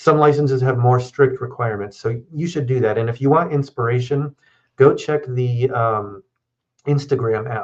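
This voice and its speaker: The voice belongs to a man, pitched at a medium level. It has a somewhat breathy quality. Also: ordinary pitch variation. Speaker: lawyer. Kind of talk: live Q&A chat on law. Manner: fast.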